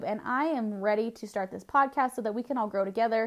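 With an American accent and ordinary pitch variation, a woman speaks on a very clean recording with a silent background. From Southern California. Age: 20s. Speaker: podcast host, network marketer. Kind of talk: solo podcast monologue.

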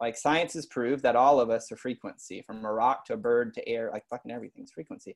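At a very fast pace, a man of medium pitch with an American accent speaks with ordinary pitch variation, in a dry, close sound with no echo. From US South, East Texas. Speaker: personal development coach. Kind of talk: casual chat.

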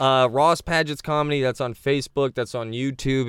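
On a very clean recording with a silent background, a man with an American accent and a fairly high pitch talks at a moderate pace. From Southwest Florida (Naples). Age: 30s. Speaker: comedian. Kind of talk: casual chat. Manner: animated.

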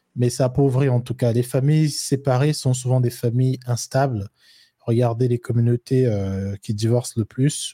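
A man with a dark, mellow tone and a somewhat breathy, medium-pitched voice speaks at a moderate pace with fairly even intonation and very even loudness, the sound dry and close with no echo. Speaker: co-host. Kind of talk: casual live chat. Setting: online livestream.

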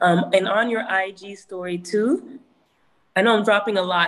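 A woman speaks in a normal speaking voice at a medium pitch. Her pace is moderate, with ordinary pitch variation. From Toronto area, Canada. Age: 20s. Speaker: hip hop artist. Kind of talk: webinar talk. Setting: video call.

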